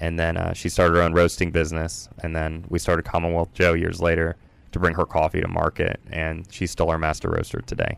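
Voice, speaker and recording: Talking at a fairly quick pace, a man with an American accent has a very deep, low pitch and a monotone, flat intonation. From Virginia. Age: 30s. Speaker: coffee company founder. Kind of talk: interview.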